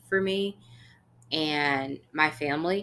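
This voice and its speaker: This woman's very deep, low pitch carries a bright, sharp tone and ordinary pitch variation. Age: 20s. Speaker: podcast co-host. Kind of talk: casual chat.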